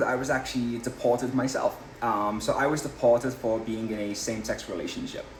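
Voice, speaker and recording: Over music in the background, a man with an English accent speaks at a fairly quick pace. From England, Liverpool. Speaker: political candidate. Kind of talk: interview.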